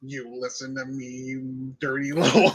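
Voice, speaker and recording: A man's put-on character voice, medium in pitch, at a moderate pace. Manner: menacing.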